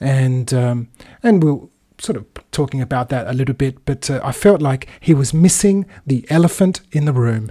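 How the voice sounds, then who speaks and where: A man speaks at a moderate pace in a somewhat breathy, fairly high voice with a dark, mellow tone and ordinary pitch variation. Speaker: teacher presenting idiom segment. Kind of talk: casual explanation.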